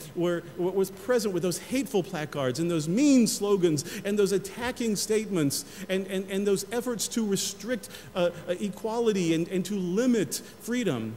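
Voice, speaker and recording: A man speaks at a moderate pace in a high voice with ordinary pitch variation, and there is noticeable background noise. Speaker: senior pastor giving a sermon. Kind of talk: church sermon.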